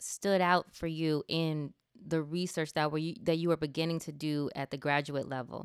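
In an ordinary speaking voice, a woman with a fairly low pitch talks at a moderate pace in a very clean recording, dry and close with no echo against a silent background. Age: 30s. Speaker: podcast host, communications executive. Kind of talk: interview. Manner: fillers and repeats.

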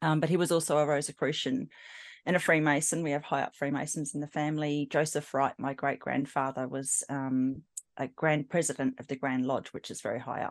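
A woman with a very deep, low pitch talks in an Australian accent. Her monotone, flat intonation moves at a fairly quick pace over a quiet background. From South Australia, Adelaide. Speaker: psychic medium. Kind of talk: interview testimony.

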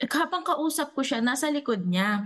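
A woman speaks at a fairly slow pace with lively intonation and a somewhat breathy voice. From Dumaguete, Visayas, Philippines. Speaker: returning guest, psychology-trained storyteller. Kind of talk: casual storytelling. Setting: online call.

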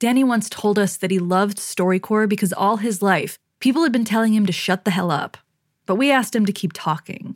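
A woman with a normal speaking voice talks at medium pitch with ordinary pitch variation. She goes at a fairly quick pace on a very clean recording with a silent background. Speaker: podcast host. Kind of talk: scripted narration.

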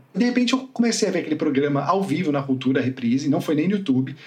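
A man's voice with lively intonation. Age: 40s. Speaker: son of a late music critic. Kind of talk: interview.

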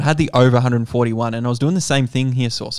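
In a very clean recording with a silent background, a man with an Australian accent talks at a medium pitch with fairly even intonation. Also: dry, close sound with no echo. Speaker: sports betting podcast host. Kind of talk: casual chat.

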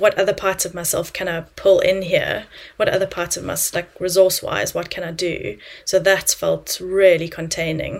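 Moderate pace with big swings in loudness. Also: woman. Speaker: clinical psychologist turned coach. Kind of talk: casual interview chat.

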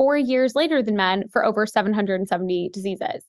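Someone with an American accent speaks at a very fast pace with ordinary pitch variation. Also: woman. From US Pacific Northwest, Seattle. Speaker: health tech company co-founder. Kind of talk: podcast interview. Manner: animated.

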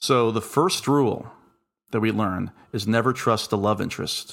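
A man speaks at a moderate pace. His pitch is medium, with ordinary pitch variation. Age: 40s. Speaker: horror podcast co-host. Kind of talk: casual chat.

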